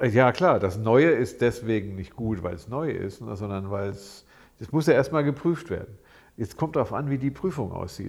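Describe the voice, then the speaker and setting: Over a quiet background, a man talks at a moderate pace with medium pitch. He has an ordinary speaking voice with lively intonation. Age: 60s. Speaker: psychologist, podcast co-host. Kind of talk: casual chat.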